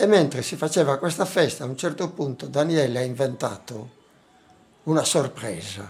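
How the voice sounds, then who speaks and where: Speaking at a moderate pace, a man leaves long, frequent pauses between his words. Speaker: anthropologist. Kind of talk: interview. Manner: halting.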